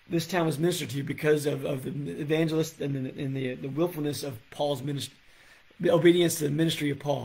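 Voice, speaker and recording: A man in a put-on character voice, raspy and fairly high-pitched, at a fairly quick pace. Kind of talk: preaching, teaching a Bible study. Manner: fast, excited.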